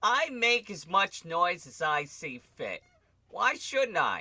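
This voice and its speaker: A man puts on a raspy character voice at a high pitch. He speaks at a very slow pace with very wide pitch swings. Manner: loud, irritable.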